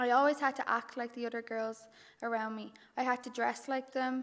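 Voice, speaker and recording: In a Dublin accent, a woman speaks in a high voice with flat, monotone intonation. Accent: Dublin Irish. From Ireland, Dublin. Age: 20s. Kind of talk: testimony.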